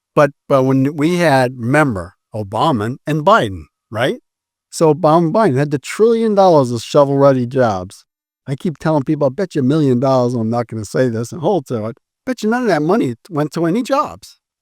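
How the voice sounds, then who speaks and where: On a very clean recording with a silent background, a man's voice makes very wide pitch swings. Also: fairly high pitch for a man, fairly quick pace, dry, close sound with no echo. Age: 60s. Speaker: solar energy company founder. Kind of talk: interview. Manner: animated.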